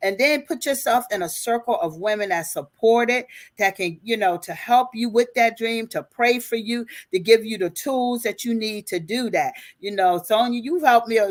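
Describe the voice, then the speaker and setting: A woman with a plain, everyday voice, fairly high in pitch, at a moderate pace with lively intonation, on a very clean recording with a silent background. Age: 60s. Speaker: life and business coach. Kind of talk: interview.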